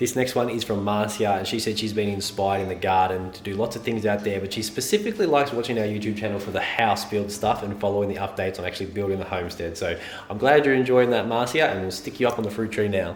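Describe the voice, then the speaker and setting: With an Australian accent, a man talks at a very fast pace and hardly pauses, his fairly low pitch held in fairly even intonation, while audible room echo and noticeable background noise fill the recording. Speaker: homesteading YouTuber. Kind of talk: casual vlog.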